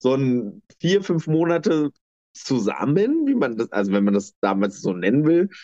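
A man with a fairly high pitch and a dark, mellow tone makes very wide pitch swings while keeping a very even loudness, recorded with a dry, close sound and no echo. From eastern Germany, Lower Lusatia (Brandenburg). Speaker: interviewee, former dance teacher. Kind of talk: interview, personal life story.

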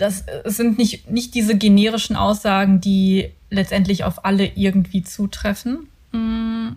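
Somewhat breathy and dark, with a mellow tone, a woman speaks at a medium pitch and a very slow pace with fairly even intonation. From Ruhr area, Germany (Mülheim an der Ruhr). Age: 30s. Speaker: podcast co-host, personal branding mentor. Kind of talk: casual chat. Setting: home bedroom recording.

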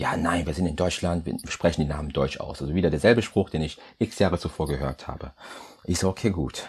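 A very deep, low male voice whose pitch moves in an ordinary way. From Germany, Düren area (Rhineland), came from Congo via Portugal aged 10-11. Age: 30s. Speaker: chemist and business development manager. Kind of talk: podcast interview.

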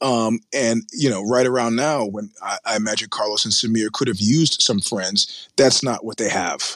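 At a moderate pace, a man with a normal speaking voice talks at a medium pitch with ordinary pitch variation and hardly any pauses. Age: 50s. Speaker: media editor. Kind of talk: interview.

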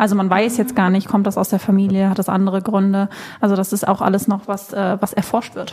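A woman speaks at a medium pitch, somewhat breathy. Her intonation stays monotone and flat. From Germany, Cologne. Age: 20s. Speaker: content creator and former flight attendant. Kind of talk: casual chat.

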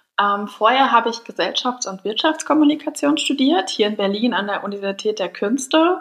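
A woman's fairly high voice at a fairly quick pace, lively in intonation, with hardly any pauses and noticeable background noise. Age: 20s. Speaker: entrepreneur. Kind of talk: interview.

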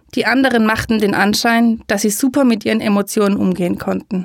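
A plain, everyday voice speaks at a moderate pace with fairly even intonation. The recording is very clean, with a silent background. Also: woman. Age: 30s. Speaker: podcaster and educator on high sensitivity. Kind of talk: personal storytelling monologue.

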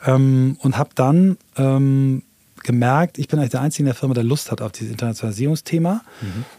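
A man with a dark, mellow tone and medium pitch talks at a fairly quick pace in a dry, close sound with no echo. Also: ordinary pitch variation. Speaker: entrepreneur and new work expert. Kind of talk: casual interview conversation.

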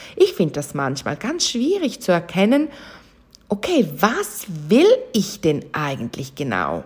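At a very slow pace, a woman speaks at a medium pitch with vocal fry. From Switzerland, St. Gallen. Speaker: podcast host, chakra coach. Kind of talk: casual monologue.

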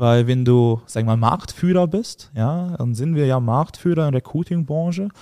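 Speaking at a moderate pace with hardly any pauses, this man has a fairly high pitch, a dark, mellow tone and lively intonation. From Hungary. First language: Hungarian (speaking German). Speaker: agency founder and CEO. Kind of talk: casual interview.

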